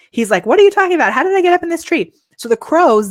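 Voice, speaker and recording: A woman sounds animated, her pitch swinging very widely. The sound is dry and close, with no echo. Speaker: live streaming coach and show host. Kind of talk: live stream tutorial. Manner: casual.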